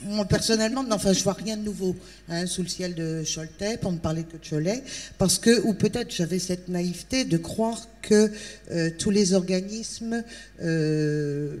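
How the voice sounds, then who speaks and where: An ordinary speaking voice from a woman at a medium pitch, moving at a fairly slow pace with ordinary pitch variation. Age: 60s. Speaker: audience member, job seeker. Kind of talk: public question. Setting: tent with audience.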